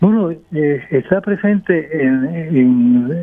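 The speaker is a man. His intonation is lively. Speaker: architect. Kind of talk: radio interview.

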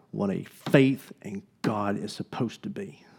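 Here a man talks with an Alabama accent. His medium-pitched voice has a dark, mellow tone. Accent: Southern US (Alabama). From US South, Alabama (Gadsden). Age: young. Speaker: pastor. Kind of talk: sermon. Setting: church.

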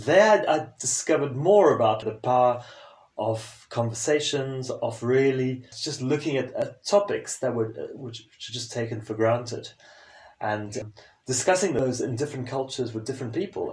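The voice is somewhat breathy, with ordinary pitch variation at a moderate pace. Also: man, medium pitch for a man. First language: French. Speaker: sustainability and leadership consultant. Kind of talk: interview conversation.

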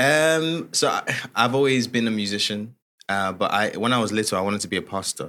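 On a very clean recording with a silent background, a man with an ordinary speaking voice talks fairly quickly with lively intonation. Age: 20s. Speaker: gospel musician. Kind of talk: interview conversation.

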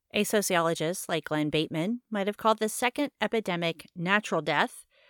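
With an ordinary speaking voice, a woman talks at a moderate pace and medium pitch with ordinary pitch variation, in a very clean recording with a silent background and a dry, close sound with no echo. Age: 30s. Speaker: podcast host reviewing a novel. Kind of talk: casual chat; reading aloud a chapter summary.

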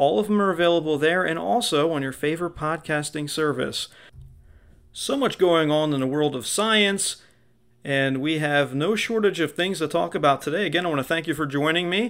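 The speaker moves at a fairly quick pace. Pitch variation is ordinary. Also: man, fairly high pitch for a man. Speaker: radio host. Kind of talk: radio DJ patter, upbeat scripted-style show intro. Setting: radio studio broadcast. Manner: animated, playful, theatrical showman energy.

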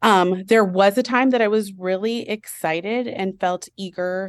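A woman's plain, everyday voice at a medium pitch, with ordinary pitch variation, a dry, close sound with no echo, and a quiet background. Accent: American. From US Midwest and Colorado (Chicago, then Colorado Springs). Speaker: early learning teacher coach. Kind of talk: interview.

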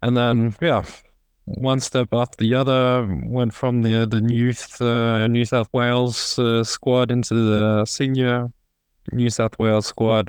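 A man talks at a very slow pace. His voice sits at a medium pitch, with monotone, flat intonation. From Australia, Sydney. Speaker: professional handball player. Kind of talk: casual interview.

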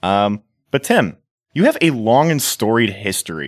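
On a very clean recording with a silent background and a dry, close sound with no echo, a man speaks at a moderate pace with very wide pitch swings. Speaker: podcast host. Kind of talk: casual chat. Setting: studio.

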